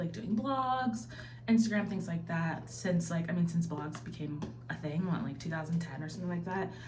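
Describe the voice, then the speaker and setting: A woman speaks at a moderate pace with a fairly low pitch and very wide pitch swings. Noticeable background noise and audible room echo fill the recording. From US Midwest, Ohio (military family, moved around). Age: 30s. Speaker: lifestyle vlogger. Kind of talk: casual vlog talk to camera. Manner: chatty, filler-heavy.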